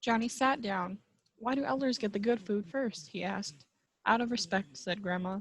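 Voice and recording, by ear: The background stays quiet. The clip is reading aloud in a natural voice.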